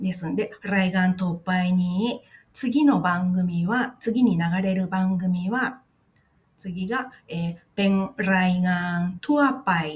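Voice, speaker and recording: The voice sounds somewhat breathy, with ordinary pitch variation. It moves at a very slow pace. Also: woman, medium pitch for a woman. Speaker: podcast host, Thai-Japanese video translator. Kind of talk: casual explainer podcast. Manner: halting with many fillers.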